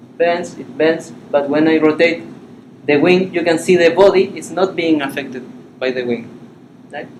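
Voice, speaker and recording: Fairly high-pitched man with a Spanish accent, moderate pace, noticeable background noise. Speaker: animation software instructor. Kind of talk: workshop tutorial. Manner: halting.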